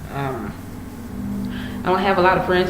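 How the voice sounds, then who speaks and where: A woman speaks over noticeable background noise. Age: 20s. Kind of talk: casual talk to camera.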